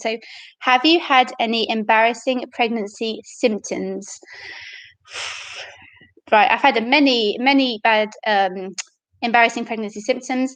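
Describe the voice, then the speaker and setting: Speaking with a British accent, a woman uses a fairly high pitch, ordinary pitch variation, and a fairly slow pace broken by long, frequent pauses. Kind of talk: casual live-stream Q&A to camera. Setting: home live stream, poor internet connection.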